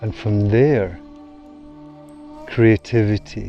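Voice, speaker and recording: Music plays in the background as a man speaks in a calm tone. His pitch is fairly low and his pace very slow. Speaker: meditation guide. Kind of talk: meditation course promo narration. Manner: slow, calm.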